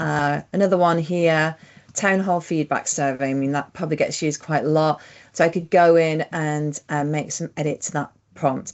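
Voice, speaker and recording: At a moderate pace, a woman talks with a very deep, low pitch and fairly even intonation. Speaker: software trainer presenting tech tips. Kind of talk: screen-share tutorial.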